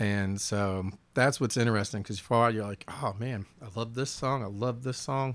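At a moderate pace, a man talks with a medium pitch and fairly even intonation. The recording is very clean, with a silent background. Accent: Southern US. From US South. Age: 50s. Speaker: musician. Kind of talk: casual chat.

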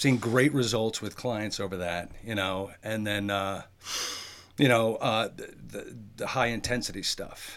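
Using an ordinary speaking voice, a man talks at a fairly slow pace with a medium pitch and fairly even intonation. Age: 50s. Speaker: fitness trainer, military veteran. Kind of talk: casual interview.

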